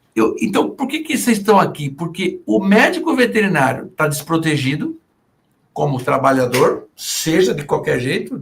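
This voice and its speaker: A man's high voice with very wide pitch swings at a moderate pace. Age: 60s. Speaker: veterinarian and business consultant. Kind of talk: podcast interview. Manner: animated.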